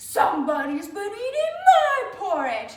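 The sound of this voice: A put-on, growling character voice, extremely high and swinging very widely in pitch, at a fairly slow pace with slight echo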